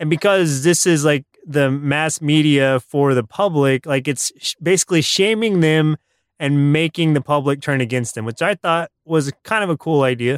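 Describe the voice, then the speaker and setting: A man's normal speaking voice, fairly high in pitch, with ordinary pitch variation, a moderate pace, hardly any pauses, and a dry, close sound with no echo. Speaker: podcast host. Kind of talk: casual chat reviewing cartoons.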